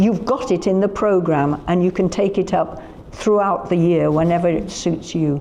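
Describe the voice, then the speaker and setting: Over noticeable background noise, a woman with a Yorkshire accent talks at a moderate pace, her fairly low pitch showing ordinary variation and her loudness very even. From Yorkshire, northern England. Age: 80s+. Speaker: festival founder. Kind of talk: casual interview chat. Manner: animated.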